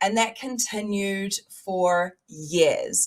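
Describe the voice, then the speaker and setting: The speaker has a New Zealand accent and ordinary pitch variation. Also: woman. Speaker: mindset coach and speaker. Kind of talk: motivational talk.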